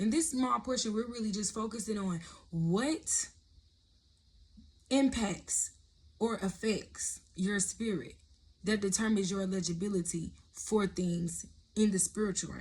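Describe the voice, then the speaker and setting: Somewhat breathy speech from a woman at a medium pitch, fairly slow, with ordinary pitch variation and long, frequent pauses. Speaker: prophetic content creator. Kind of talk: sermon-style vlog. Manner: casual, conversational.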